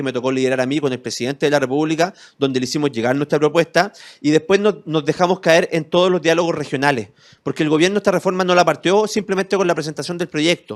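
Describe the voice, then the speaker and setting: An animated man with a Chilean accent talks very fast at a fairly high pitch, with ordinary pitch variation. The recording is very clean, with a silent background and a dry, close sound with no echo. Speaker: lawyer and civic movement founder. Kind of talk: interview.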